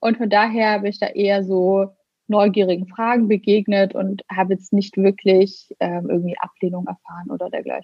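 The delivery is monotone and flat, at a moderate pace. The voice is somewhat breathy. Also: woman, medium pitch for a woman. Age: 30s. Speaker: blogger and influencer. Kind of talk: casual interview.

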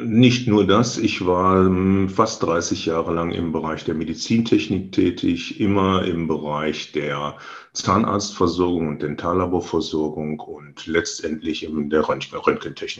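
A man with a very deep, low pitch speaks at a fairly slow pace, with hardly any pauses. His pitch variation is ordinary. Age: 60s. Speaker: real estate agent, licence partner, former sales manager. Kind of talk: interview. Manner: halting, frequent fillers.

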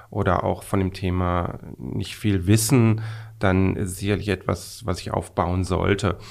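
Very deep and low, a man's voice moves at a very slow pace with fairly even intonation. The recording is very clean, with a silent background. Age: 50s. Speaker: management consultant. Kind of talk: interview. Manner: halting, many fillers.

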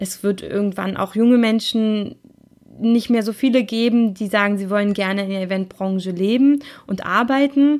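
A woman with a medium pitch and a slightly mellow tone talks at a moderate pace with ordinary pitch variation.

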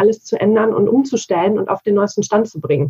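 The woman's voice is somewhat breathy, with a fairly high pitch. She keeps a moderate pace and ordinary pitch variation. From Bavaria, Germany. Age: 40s. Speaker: digital work consultant. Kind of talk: interview conversation.

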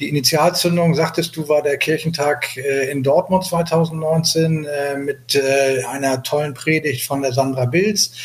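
A man's fairly high voice at a fairly slow pace, hardly any pauses and fairly even intonation, with noticeable background noise. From Hamburg, northern Germany. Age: 60s. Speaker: sea rescue activist. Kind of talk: interview. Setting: remote call. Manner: halting, many fillers.

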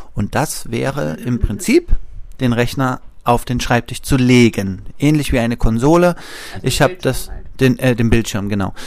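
Using a plain, everyday voice, a man at medium pitch talks at a moderate pace with lively intonation. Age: 30s. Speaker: physiotherapist. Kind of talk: interview.

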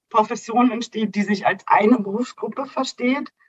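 Using a normal speaking voice, a woman with a fairly high pitch talks at a moderate pace with lively intonation. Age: 30s. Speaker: nursing educator. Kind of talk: interview.

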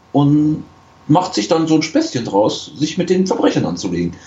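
A man talks with some breathiness. His pitch rises and falls over a very wide range. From western Germany (Rhineland). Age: 20s. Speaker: podcast guest. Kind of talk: casual chat.

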